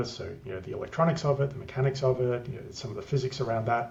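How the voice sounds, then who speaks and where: A man talks in an Australian accent at a medium pitch. His intonation is flat and monotone. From Australia, country Queensland. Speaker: tech business development lead. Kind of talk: interview. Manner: hesitant, many fillers.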